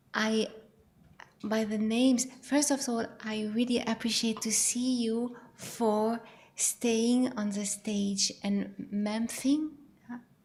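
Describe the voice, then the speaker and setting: With long, frequent pauses, this speaker talks at a very slow pace in a non-native accent, the intonation monotone and flat. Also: woman, fairly high pitch for a woman. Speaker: audience member. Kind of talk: audience feedback. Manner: halting.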